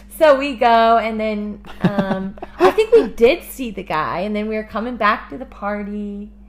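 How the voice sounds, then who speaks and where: A woman speaks at a fairly high pitch with ordinary pitch variation, keeping a fairly slow pace with hardly any pauses. Noticeable background noise runs underneath. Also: big swings in loudness. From Kansas City, Missouri. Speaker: missionary and podcast co-host. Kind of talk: casual chat.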